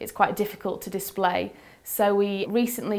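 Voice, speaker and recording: Here a woman speaks at a fairly quick pace. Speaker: museum curator. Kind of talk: interview answer.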